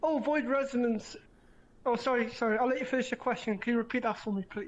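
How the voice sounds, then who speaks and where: A woman with a British accent talks at a very fast pace in a high pitch. Her intonation is fairly even, and the background is quiet. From Britain. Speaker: online gaming community admin. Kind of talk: casual interview. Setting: VR live interview.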